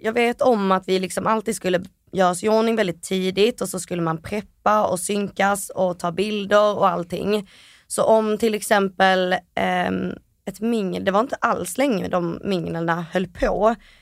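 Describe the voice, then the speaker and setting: A woman's unremarkable speaking voice at medium pitch, fairly slow and fairly even in intonation, on a very clean recording with a silent background. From Malmö, Sweden. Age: 20s. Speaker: reality TV contestant. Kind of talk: interview. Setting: studio.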